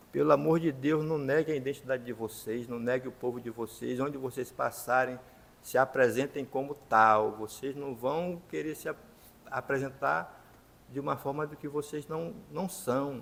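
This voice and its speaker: A man speaks in a plain, everyday voice at a medium pitch and a moderate pace. His pitch variation is ordinary, with big swings in loudness. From Maranhão, Brazil (São Luís). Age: 60s. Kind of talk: talk show testimony.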